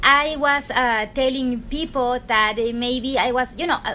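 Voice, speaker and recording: Speaking with a Spanish accent, a woman uses a raised, projected voice that is high-pitched, bright and sharp, with ordinary pitch variation. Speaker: tarot reader, YouTuber. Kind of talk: casual chat. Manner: unscripted, halting.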